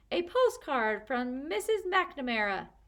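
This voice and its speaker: Using a put-on character voice, a woman speaks fairly slowly in a high pitch with very wide pitch swings. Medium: read story.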